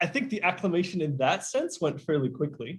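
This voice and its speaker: A man with an American accent talks in a somewhat breathy voice. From Kenya. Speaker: teacher. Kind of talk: interview.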